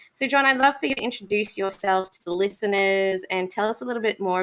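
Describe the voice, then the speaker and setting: The speaker has an Australian accent and a fairly quick pace. Pitch varies in an ordinary way. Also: woman. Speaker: podcast host. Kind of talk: casual interview chat.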